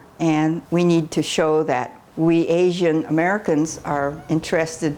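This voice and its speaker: Noticeable background noise under a woman's very deep, low voice, going at a fairly slow pace. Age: 90s. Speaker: activist and columnist. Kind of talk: documentary interview.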